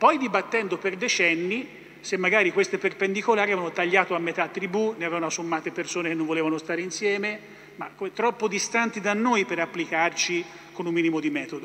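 The voice is raised and projected, moving at a very fast pace. Its pitch variation is ordinary. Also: man, high pitch for a man. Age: 50s. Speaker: energy company executive; speaker. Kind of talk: panel talk. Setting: stage with audience. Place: hall. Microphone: podium.

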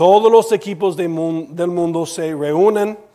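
The voice has an English accent and a dark, mellow tone with ordinary pitch variation. It moves at a very slow pace against a quiet background. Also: man. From United States. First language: English (speaking Spanish). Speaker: preacher. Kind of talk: sermon. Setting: church. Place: church.

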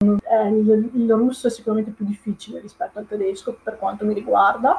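The speaker has a Venetian accent. The pace is moderate. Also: woman. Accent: mild Venetian-accented Italian. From Italy, Veneto (Padova province). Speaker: Italian language teacher. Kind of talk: live-stream talk. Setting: live online video stream. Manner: hesitant, many fillers. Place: home room. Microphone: webcam.

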